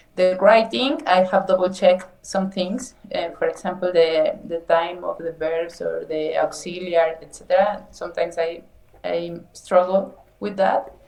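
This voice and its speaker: A woman in a Mexican accent speaks fairly slowly at a medium pitch with ordinary pitch variation, hardly any pauses and big swings in loudness. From Mexico. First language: Spanish. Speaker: nutrition scientist, English learner. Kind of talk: English lesson conversation. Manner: slow, halting.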